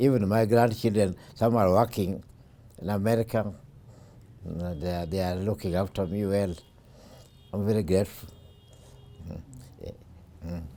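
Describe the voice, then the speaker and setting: A man with a Kenyan accent speaks at a moderate pace in a dark, mellow tone and a fairly low pitch, leaving long, frequent pauses. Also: fairly even intonation, big swings in loudness. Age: 80s+. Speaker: retired railway worker. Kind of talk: life story interview. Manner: halting.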